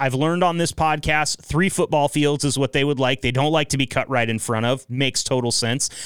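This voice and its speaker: Recorded dry and close with no echo, a man with an American accent speaks at a moderate pace in an ordinary speaking voice, fairly high-pitched, with ordinary pitch variation. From Northeast Oregon.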